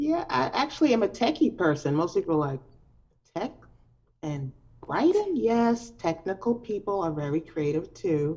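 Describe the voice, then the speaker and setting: Here a woman talks at a moderate pace in a dark, mellow tone. Her intonation is lively. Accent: New York. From New York (Brooklyn, Long Island). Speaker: poet. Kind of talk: interview. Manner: loud.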